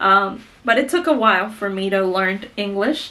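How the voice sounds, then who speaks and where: Her bright, sharp tone carries a strong Mexican accent as the woman speaks with audible room echo. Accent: heavy Mexican Spanish. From Mexico, Guanajuato. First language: Spanish. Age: 30s. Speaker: beauty vlogger. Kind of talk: casual chat.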